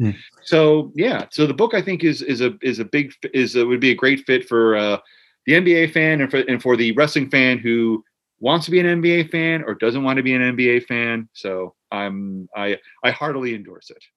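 A man with a New Jersey accent at a moderate pace, his intonation lively. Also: medium pitch for a man. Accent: New Jersey American. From US Northeast, Central New Jersey (Monmouth County). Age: 40s. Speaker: author and sports writer. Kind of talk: casual interview chat.

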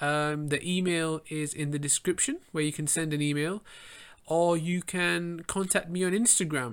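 On a very clean recording with a silent background, a man with an English accent speaks with a fairly high pitch and fairly even intonation. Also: moderate pace. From England. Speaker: podcast host and fashion model. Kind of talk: solo monologue podcast.

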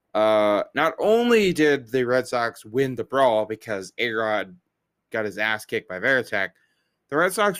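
A man with a plain, everyday voice at a medium pitch and a fairly slow pace, in a very clean recording with a silent background. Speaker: baseball podcast host. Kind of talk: casual chat.

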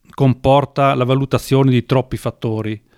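The recording is very clean, with a silent background and a dry, close sound with no echo, as a man speaks in a normal speaking voice at medium pitch, with fairly even intonation and a moderate pace. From Veneto, northern Italy. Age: 60s. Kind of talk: interview.

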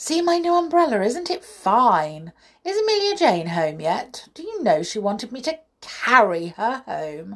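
Someone performs a put-on character voice at a fairly slow pace, with big pitch swings. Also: woman, fairly high pitch for a woman.

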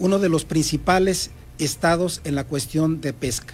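A man with a fairly high pitch speaks at a fairly slow pace. His pitch varies in an ordinary way. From Mexico City. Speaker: political candidate. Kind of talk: interview. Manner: halting.

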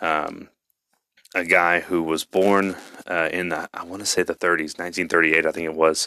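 In a Texan accent, a man with a very deep, low voice and a bright, sharp tone talks at a moderate pace, the sound dry and close with no echo. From Texas. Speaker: podcast host. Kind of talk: casual monologue. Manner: animated.

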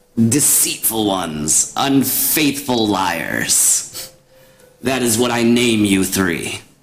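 Putting on a croaky character voice, a man speaks very slowly at a medium pitch. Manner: accusing, menacing.

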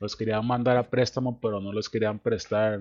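A man's fairly low, flat monotone at a moderate pace, with a Costa Rican accent. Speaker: podcast host. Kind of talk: casual chat.

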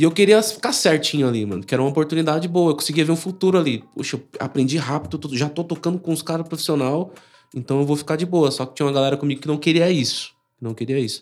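Over background music, a man with a fairly high pitch speaks at a very fast pace. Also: ordinary pitch variation. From São Paulo, Brazil. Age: 30s. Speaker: church member. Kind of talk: casual chat. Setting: live stream. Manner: animated.

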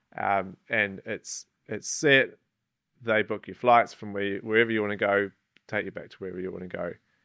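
With a New Zealand accent, a man speaks at a fairly low pitch and moderate pace, showing big swings in loudness in a dry, close sound with no echo. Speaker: outdoor guide and adventurer. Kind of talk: casual interview. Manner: hesitant, many fillers.

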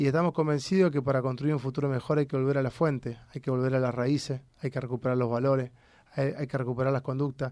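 Speech in a Rioplatense accent comes out very fast, in a monotone, flat intonation. The recording is very clean, with a silent background. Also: man. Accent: Argentine Spanish (rioplatense). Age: 40s. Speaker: politician, legislative candidate. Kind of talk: interview.

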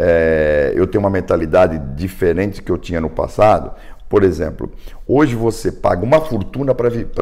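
Over noticeable background noise, a man talks with a fairly low pitch and lively intonation. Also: moderate pace. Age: 60s. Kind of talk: casual chat. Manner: animated.

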